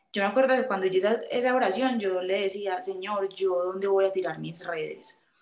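A woman's normal speaking voice at a moderate pace, with fairly even intonation and hardly any pauses. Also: medium pitch for a woman. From Colombia, Medellín. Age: 20s. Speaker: aspiring nun. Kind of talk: testimony.

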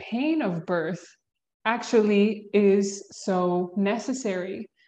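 In an American accent, a woman speaks at a medium pitch with ordinary pitch variation. Her pace is very slow, and the background is quiet. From US South, Georgia. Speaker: mother sharing birth experiences. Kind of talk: casual interview.

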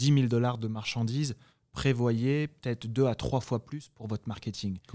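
The intonation is fairly even, and the sound is dry and close with no echo. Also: man. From France (Paris, then Guadeloupe from age 14). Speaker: e-commerce entrepreneur. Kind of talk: interview. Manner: halting with frequent repetitions.

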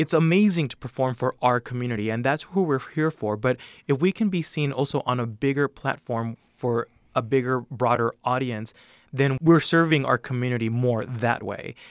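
In an American accent, a man with an ordinary speaking voice talks at a moderate pace and medium pitch with ordinary pitch variation, the sound dry and close with no echo. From El Sereno, Los Angeles. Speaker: mariachi bandleader. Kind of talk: interview.

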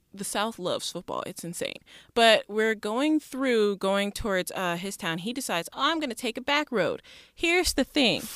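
A woman with an American accent, fairly high pitch, lively intonation and a moderate pace, in a very clean recording with a silent background and a dry, close sound with no echo. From Detroit then Mississippi, US. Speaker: author and ESL teacher. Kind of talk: casual chat.

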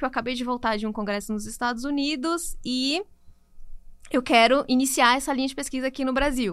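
The speech runs at a very fast pace in a very clean recording with a silent background. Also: woman. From Brazil, Natal, Rio Grande do Norte. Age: 30s. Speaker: nutritionist. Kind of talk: interview.

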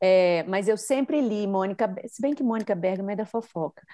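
With a Minas Gerais accent, a woman speaks at a moderate pace in a dark, mellow tone with lively intonation. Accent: mineiro (Minas Gerais). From Minas Gerais, Brazil. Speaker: podcaster and journalist. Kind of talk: casual interview chat.

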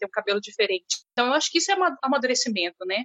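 A woman speaks with a high voice and very wide swings in pitch. She talks at a very fast pace. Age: 30s. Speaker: municipal education worker. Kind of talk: recorded testimony.

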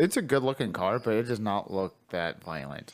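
A man talks at a fairly quick pace with very wide pitch swings and vocal fry. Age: 30s. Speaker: podcast co-host. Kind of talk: casual chat.

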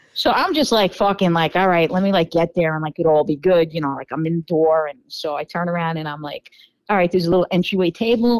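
In a New York accent, a woman with a fairly low voice talks very fast with hardly any pauses and ordinary pitch variation, the sound dry and close with no echo. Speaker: podcast guest telling dating stories. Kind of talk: casual chat.

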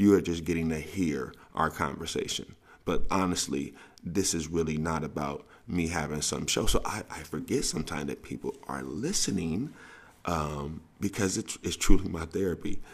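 A man with a very deep, low pitch and vocal fry talks in an animated tone at a moderate pace, with ordinary pitch variation. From US South. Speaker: sports coach and podcast host. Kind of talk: casual monologue podcast.

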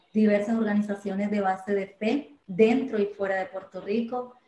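With a medium pitch, a woman speaks in a flat, monotone way. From Colombia, Medellín. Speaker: church volunteer giving testimony. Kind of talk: testimony.

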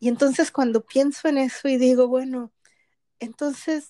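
With a Mexican accent, a woman speaks very slowly in a high but dark, mellow voice, her intonation fairly even and the sound dry and close with no echo. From Mexico. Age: 50s. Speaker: podcast co-host, spiritual coach. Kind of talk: casual conversational podcast.

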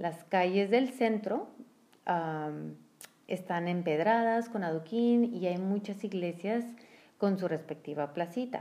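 Her pitch is medium, with ordinary variation, as the woman speaks at a very slow pace. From northern Mexico (San Luis Potosí, Monterrey). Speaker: podcast co-host. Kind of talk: casual chat.

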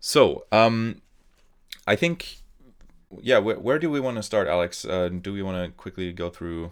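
On a very clean recording with a silent background, a man with a German accent speaks fairly slowly at a fairly low pitch, using lively intonation, big swings in loudness, and long, frequent pauses. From Germany. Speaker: podcast host. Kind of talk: casual chat.

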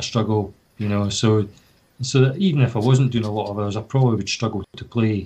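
With a Scottish accent, a man talks in a dark, mellow, somewhat breathy tone, fairly low in pitch, with fairly even intonation. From Scotland, Fife. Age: 40s. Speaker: badminton player. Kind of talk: casual chat.

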